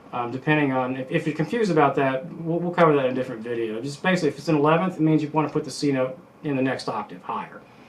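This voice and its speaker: Against noticeable background noise, a man with a fairly high pitch talks at a very fast pace with hardly any pauses. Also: ordinary pitch variation. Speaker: guitar teacher. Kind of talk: tutorial. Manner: casual, halting with many fillers.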